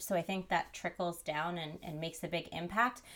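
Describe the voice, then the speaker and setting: An ordinary speaking voice from a woman with an American accent, fairly low-pitched with fairly even intonation, on a very clean recording with a silent background. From New Jersey. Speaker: chef and nutrition coach. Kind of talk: interview.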